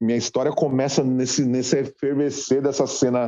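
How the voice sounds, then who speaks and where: Talking at a medium pitch and a moderate pace, a man uses a normal speaking voice. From Guarulhos, São Paulo, Brazil. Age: 40s. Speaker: rock musician. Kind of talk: casual interview.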